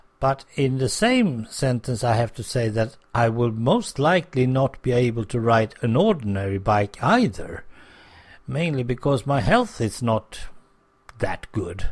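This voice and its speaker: A man of medium pitch speaks at a fairly slow pace, somewhat breathy and with ordinary pitch variation, on a very clean recording with a silent background. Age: 60s. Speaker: podcaster. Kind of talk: casual monologue.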